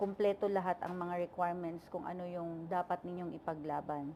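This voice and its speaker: A woman's dark, mellow tone at medium pitch, monotone and flat, at a moderate pace. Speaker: overseas worker vlogger. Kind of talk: vlog monologue. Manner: halting, many fillers.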